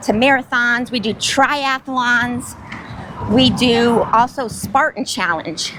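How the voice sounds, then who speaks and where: Loud and high-pitched, a woman speaks at a very slow pace with ordinary pitch variation. There is noticeable background noise. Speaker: retired army sergeant and nonprofit ambassador. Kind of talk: interview.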